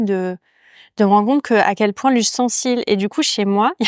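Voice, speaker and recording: A woman's medium-pitched voice at a fairly quick pace, with ordinary pitch variation and a dry, close sound with no echo. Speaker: podcast host, yoga teacher. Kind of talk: casual interview conversation. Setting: ceramics workshop. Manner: fast; hesitant, many fillers.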